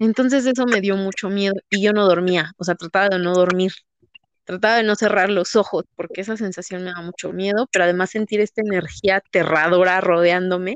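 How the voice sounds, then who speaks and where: A woman talks fairly quickly at a medium pitch. Her intonation is fairly even, and the sound is dry and close with no echo. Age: 30s. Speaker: psychedelic experience storyteller. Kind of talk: casual chat.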